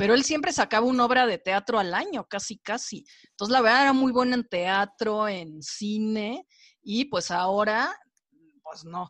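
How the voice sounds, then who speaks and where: A woman with a Mexican accent speaks at a fairly slow pace with lively intonation. The sound is dry and close with no echo, over a quiet background. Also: fairly high pitch for a woman. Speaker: film and series critic. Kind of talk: casual chat.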